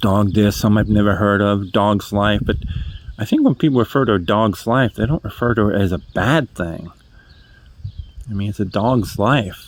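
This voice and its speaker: A man talks at a moderate pace with a slight New England accent. His pitch is fairly low, with ordinary pitch variation. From New England, New Hampshire. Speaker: vlogger. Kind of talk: casual monologue. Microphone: cheap earbud mic.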